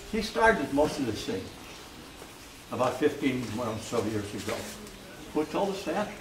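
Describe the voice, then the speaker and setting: Speaking with an American accent at a moderate pace, the voice makes very wide pitch swings. Long, frequent pauses break it up, with noticeable background noise behind. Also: man, fairly high pitch for a man. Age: 80s+. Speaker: landowner. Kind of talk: speech to a community group.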